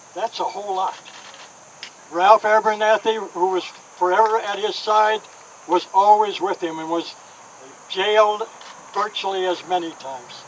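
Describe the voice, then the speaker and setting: At a moderate pace, a high-pitched man talks with fairly even intonation, big swings in loudness and long, frequent pauses, over noticeable background noise. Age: 80s+. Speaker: civil rights activist. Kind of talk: speech.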